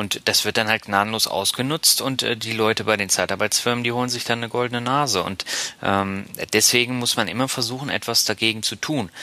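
Fairly quick in pace, the speech keeps a fairly even intonation through noticeable background noise. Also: man, medium pitch for a man. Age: 30s. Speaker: podcast host, marketing professional. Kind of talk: casual chat.

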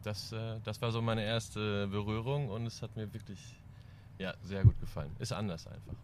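Speaking at a moderate pace, a man has a fairly low pitch and an unremarkable speaking voice. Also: fairly even intonation. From East Frisia, northern Germany. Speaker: band drummer. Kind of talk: casual chat.

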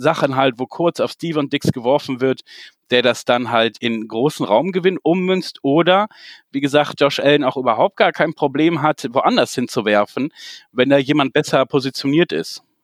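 Recorded very cleanly against a silent background, in a dry, close sound with no echo, an ordinary speaking voice moves at a moderate pace with ordinary pitch variation. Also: man. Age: 40s. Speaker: football fan club founder. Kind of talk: casual chat.

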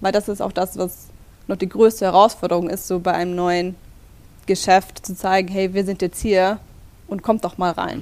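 A woman's medium-pitched voice, monotone and flat, at a moderate pace with long, frequent pauses. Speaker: store manager. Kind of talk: interview. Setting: in the store.

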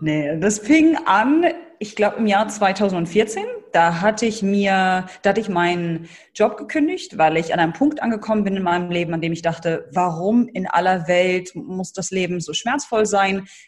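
Somewhat breathy, a woman speaks at a medium pitch and a moderate pace with lively intonation. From Germany, Hannover. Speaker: brand building coach. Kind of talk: interview.

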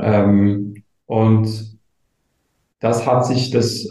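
This man's somewhat breathy voice sits at a medium pitch and has a dark, mellow tone. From eastern Switzerland (Gommiswald, St. Gallen). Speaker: community manager. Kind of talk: casual chat.

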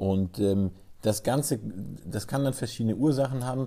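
With a dark, mellow, somewhat breathy tone, a man speaks at a moderate pace with lively intonation. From southwestern Germany, Freiburg. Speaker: sports physiotherapist. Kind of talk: expert interview. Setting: office.

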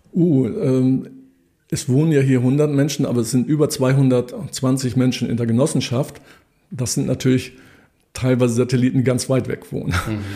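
Dark, mellow tone from a man at medium pitch, moderate pace and fairly even intonation. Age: 60s. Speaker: economist and cooperative member. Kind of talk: interview. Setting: office.

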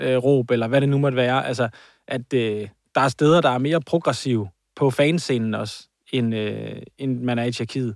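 A man with a normal speaking voice talks at a fairly slow pace, medium in pitch, his intonation fairly even. The sound is dry and close with no echo, on a very clean recording with a silent background. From Copenhagen area (Hvidovre). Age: 30s. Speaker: podcast co-host. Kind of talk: casual chat.

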